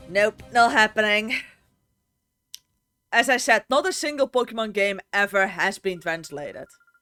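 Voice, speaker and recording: With music in the background yet a dry, close sound with no echo, a woman with a Dutch accent speaks at a moderate pace and a fairly high pitch, with lively intonation and long, frequent pauses. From Netherlands. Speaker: gaming streamer. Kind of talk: casual live-stream chat.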